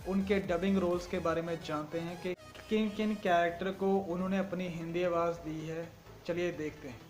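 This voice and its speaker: Intonation here is monotone and flat. Music plays in the background. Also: man, high pitch for a man. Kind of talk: casual talk to camera, YouTube channel introduction.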